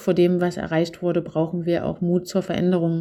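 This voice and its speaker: The recording is very clean with a silent background. A woman speaks at medium pitch and a moderate pace in a dark, mellow tone. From Saxony, Zwickau area. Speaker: politician. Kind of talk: interview. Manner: hesitant, many fillers.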